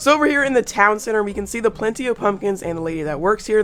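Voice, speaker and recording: Music runs in the background while a woman talks. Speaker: gaming YouTuber. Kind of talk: casual gameplay commentary.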